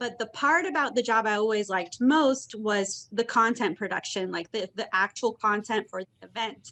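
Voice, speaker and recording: A woman with an American accent at a fairly high pitch, moderate pace, and hardly any pauses, her tone bright and sharp with ordinary pitch variation. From US Midwest, Indiana. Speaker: content marketer. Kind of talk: knowledge session talk.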